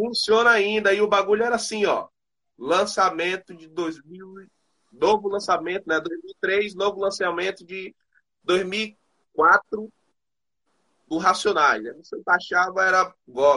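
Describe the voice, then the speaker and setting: Raising and projecting his high-pitched voice, a man speaks at a very slow pace in a bright, sharp tone, with ordinary pitch variation and big swings in loudness. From Bahia, Brazil. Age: 20s. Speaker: rapper. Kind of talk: interview. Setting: remote call.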